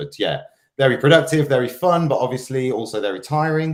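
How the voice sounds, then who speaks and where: A somewhat breathy voice at a very fast pace with ordinary pitch variation. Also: man. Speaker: podcast host. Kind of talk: show introduction.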